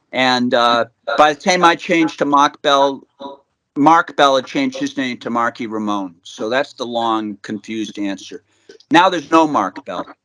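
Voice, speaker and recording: A man with a Boston accent speaks at a medium pitch and a moderate pace, with ordinary pitch variation. His tone is bright and sharp, and the sound is dry and close with no echo. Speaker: rock musician. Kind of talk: interview. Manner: halting.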